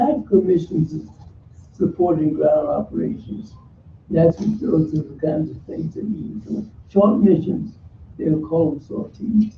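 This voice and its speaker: A man with an American accent speaks at a fairly slow pace in a fairly high voice, his pitch swinging very widely, his loudness rising and falling a lot, and vocal fry in his tone. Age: 90s. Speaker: war veteran, former military pilot. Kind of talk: oral history talk and audience answers. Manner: hesitant, with fillers and repetitions.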